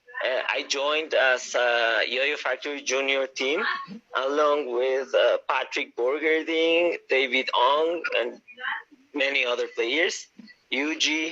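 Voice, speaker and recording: A man with a Spanish accent, at a very slow pace. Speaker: yo-yo player. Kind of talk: live stream interview. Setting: live video call on phone.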